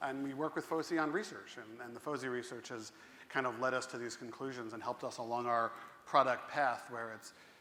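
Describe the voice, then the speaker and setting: In a room with audible echo, a man with an American accent talks fairly quickly at a medium pitch, his bright, sharp tone keeping fairly even intonation amid big swings in loudness. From US Northeast, Central New Jersey. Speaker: tech company representative on a panel. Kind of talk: conference panel discussion. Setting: stage with audience.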